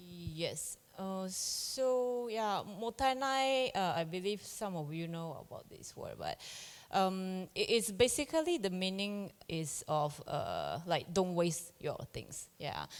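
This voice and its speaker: With a Japanese accent, the speaker goes at a very slow pace with hardly any pauses, lively intonation and big swings in loudness, on a very clean recording with a silent background. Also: woman, medium pitch for a woman. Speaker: farm-to-chef supply business founder. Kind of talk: panel discussion. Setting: stage with audience. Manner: halting.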